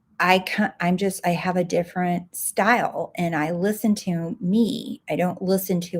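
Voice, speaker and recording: A woman talks at a moderate pace with hardly any pauses. Her pitch is medium, with ordinary variation. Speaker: life coach and podcast host. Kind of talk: live stream talk. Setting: livestream, home recording. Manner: soft-spoken.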